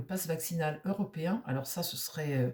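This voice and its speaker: A woman speaks at a fairly slow pace. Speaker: tarot reader. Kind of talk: casual monologue. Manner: halting, many hesitations.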